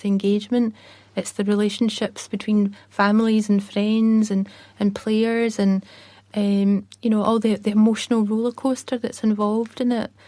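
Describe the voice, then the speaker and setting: A woman's fairly high, somewhat breathy voice with a dark, mellow tone and a Scottish accent, at a fairly quick pace in a monotone, flat intonation, on a very clean recording with a silent background. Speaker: documentary director. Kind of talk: podcast interview. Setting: podcast. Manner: hesitant, many fillers.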